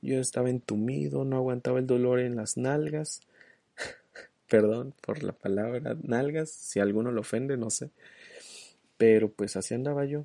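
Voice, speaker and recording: Soft-spoken, a man with a medium pitch and a dark, mellow tone talks at a fairly slow pace with ordinary pitch variation and long, frequent pauses, in a dry, close sound with no echo. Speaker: solo podcast host. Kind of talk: casual monologue.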